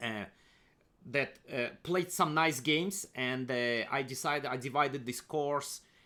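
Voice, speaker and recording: A bright, sharp voice with a Russian accent speaks at a moderate pace with fairly even intonation. The recording is very clean, with a silent background. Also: man. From Kazakhstan, Soviet Union. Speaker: chess grandmaster and coach. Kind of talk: screen-share tutorial presentation. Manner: halting, many fillers and repeats.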